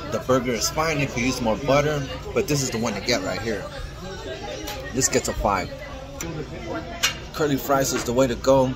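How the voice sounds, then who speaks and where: A man speaking at a moderate pace over crowd noise in the background. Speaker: food vlogger. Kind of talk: casual vlog chat. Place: cafe. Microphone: phone near.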